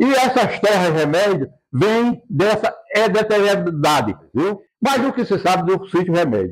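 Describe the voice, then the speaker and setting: Lively intonation marks a man's high-pitched voice. He speaks at a fairly slow pace. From Brazilian Northeast, Rio Grande do Norte (Seridó). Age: 80s+. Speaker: local elder and historian. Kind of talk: interview testimony. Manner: halting, with repetitions.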